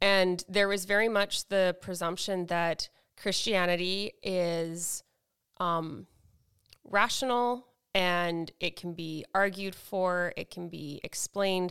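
In a plain, everyday voice with fairly even intonation, the recording is very clean with a silent background and a dry, close sound with no echo. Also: woman. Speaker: podcast co-host. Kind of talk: casual chat.

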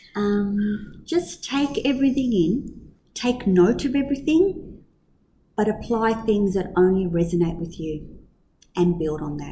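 A somewhat breathy woman with a dark, mellow tone and medium pitch, using very wide pitch swings at a fairly slow pace. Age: 50s. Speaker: kindergarten teacher and director. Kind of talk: casual interview.

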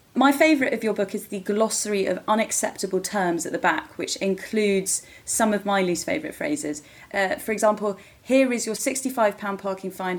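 With an unremarkable speaking voice, a woman at a medium pitch speaks at a fairly quick pace with lively intonation. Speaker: podcast host. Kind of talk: scripted intro and interview.

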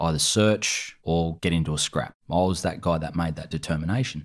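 An Australian accent marks this man's fairly quick speech, which has ordinary pitch variation and sits on a very clean recording with a silent background. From New South Wales, Australia. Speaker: army veteran. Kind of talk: interview.

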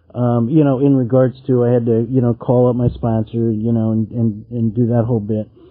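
A man's medium-pitched, fairly quick delivery in an ordinary speaking voice with an American accent. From California. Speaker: meeting leader. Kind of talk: recovery meeting share.

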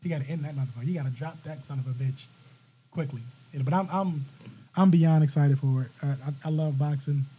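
In a dark, mellow tone, a somewhat breathy man speaks fairly quickly at a fairly high pitch with fairly even intonation. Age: 30s. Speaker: podcast guest. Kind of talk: casual chat.

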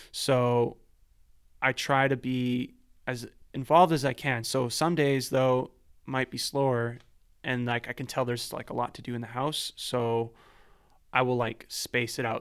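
With a Canadian accent and an ordinary speaking voice, a man talks at a moderate pace and medium pitch with fairly even intonation, on a very clean recording with a silent background. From Vancouver, Canada (East Van). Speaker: composer and sound designer. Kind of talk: casual interview.

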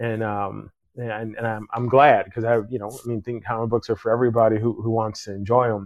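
A man with an ordinary speaking voice, a fairly quick pace, hardly any pauses and big swings in loudness. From Chicago area, US Midwest. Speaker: podcast host. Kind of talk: casual interview.

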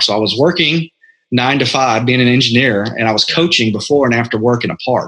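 A very fast-talking man with an American accent, at a medium pitch and very even loudness. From Texas, small town. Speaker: fitness franchise owner. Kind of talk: interview.

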